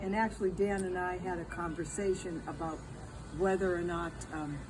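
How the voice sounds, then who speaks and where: Music plays in the background as a woman with a medium-pitched voice speaks at a moderate pace. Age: 80s+. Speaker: elderly vlogger reviewing a product. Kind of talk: casual product review chat. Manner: halting.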